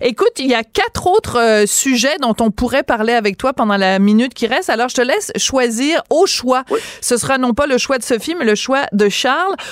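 Speaking with hardly any pauses, a woman uses a high pitch and lively intonation at very even loudness, in a dry, close sound with no echo and noticeable background noise. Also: moderate pace. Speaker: radio host. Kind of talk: radio interview.

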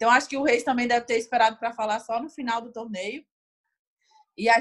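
A woman talks at a moderate pace in a high voice. Her intonation stays fairly even. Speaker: Olympic beach volleyball player. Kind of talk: interview.

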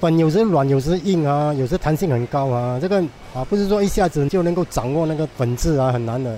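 This man's pitch swings very widely as he talks in an animated tone. He keeps a fairly quick pace. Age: 60s. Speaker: hawker. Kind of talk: interview testimony. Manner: animated with laughter.

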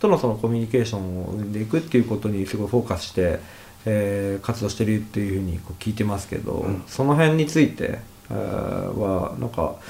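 A man talks at a very fast pace in a fairly low pitch. His tone is dark and mellow, and somewhat breathy. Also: ordinary pitch variation. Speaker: radio host. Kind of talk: casual interview.

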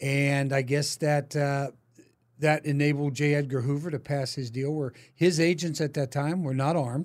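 A man speaks at a moderate pace with an American accent. His pitch is fairly high, and his intonation is monotone and flat. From Pittsburgh, US East Coast. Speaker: podcast host. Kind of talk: casual interview. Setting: studio, face to face.

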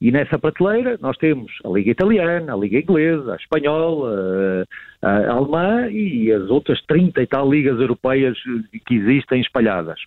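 The speaker keeps a moderate pace and very even loudness. The pitch swings very widely. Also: man, medium pitch for a man. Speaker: marketing professor and sports marketing expert. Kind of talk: radio interview commentary. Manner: hesitant with repetitions and fillers.

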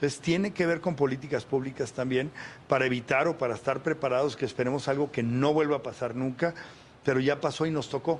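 At a very fast pace, a man with fairly high pitch keeps his loudness very even and his intonation fairly even. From Torreón, Coahuila, northern Mexico. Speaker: mayor, politician. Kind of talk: interview. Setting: municipal office, live broadcast.

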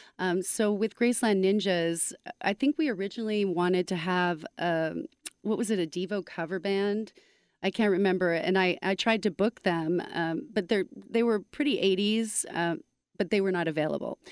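A woman speaks in a plain, everyday voice at a medium pitch and moderate pace, with ordinary pitch variation and very even loudness. The sound is dry and close, with no echo. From Canada. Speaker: music co-director of a charity event. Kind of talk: casual interview.

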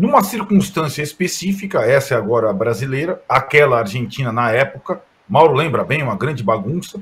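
With very wide pitch swings, a man speaks at a fairly quick pace in a fairly high, somewhat breathy voice. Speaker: sports journalist. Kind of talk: casual chat.

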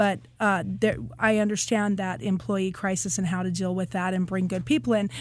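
At a moderate pace, a woman talks in a normal speaking voice with a medium pitch. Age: 50s. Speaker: city council candidate and kindergarten teacher. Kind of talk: interview.

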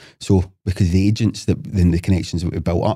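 With a dark, mellow tone and a very deep, low pitch, a man speaks somewhat breathy and with fairly even intonation, the sound dry and close with no echo on a very clean recording with a silent background. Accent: Lanarkshire. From Scotland, Motherwell. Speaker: property developer. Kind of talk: casual chat. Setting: studio.

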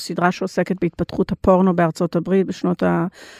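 A woman with an English accent speaks at a medium pitch. The recording is very clean and dry, close with no echo, over a silent background. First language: English (speaking Hebrew). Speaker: intimacy coordinator for film and TV. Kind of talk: interview. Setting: studio.

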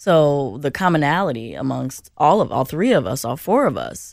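Recorded very cleanly with a silent background, a woman with an American accent speaks at a moderate pace in a very deep, low voice with vocal fry. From South Side of Chicago. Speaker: city policy director. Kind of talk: radio panel discussion.

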